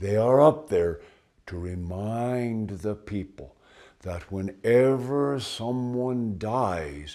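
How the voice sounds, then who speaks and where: A put-on character voice at a very slow pace. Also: man. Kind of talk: ghost story telling. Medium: read story. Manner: measured, deliberate storytelling pace.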